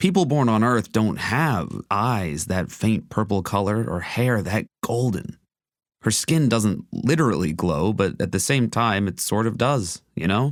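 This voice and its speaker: In a plain, everyday voice at a fairly low pitch, a man speaks at a fairly slow pace with lively intonation and very even loudness on a very clean recording with a silent background. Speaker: voice actor and narrator. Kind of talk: first-person audiobook narration.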